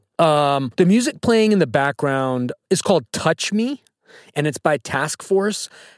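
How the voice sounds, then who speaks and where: A man speaks in an ordinary speaking voice, fairly high for a man, at a fairly slow pace. The recording is very clean with a silent background and a dry, close sound with no echo. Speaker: podcast host. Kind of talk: casual chat.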